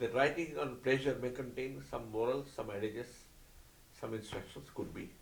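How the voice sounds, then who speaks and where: A somewhat breathy man talks at a medium pitch with an Odisha accent. Room echo is audible. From India (Odisha). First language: Oriya. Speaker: spiritual teacher and author. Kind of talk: interview.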